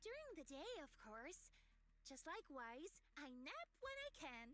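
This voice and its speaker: A put-on character voice, pitched extremely high, swings very widely in pitch. It moves at a fairly slow pace. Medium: video game.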